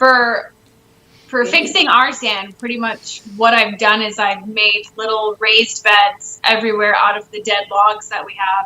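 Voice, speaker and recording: Noticeable background noise sits behind a woman's voice. She talks at a moderate pace in a monotone, flat intonation. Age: young. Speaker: homesteader. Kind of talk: casual chat.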